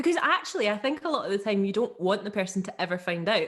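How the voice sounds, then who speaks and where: A woman at a very fast pace. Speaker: podcast co-host. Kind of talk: casual podcast conversation.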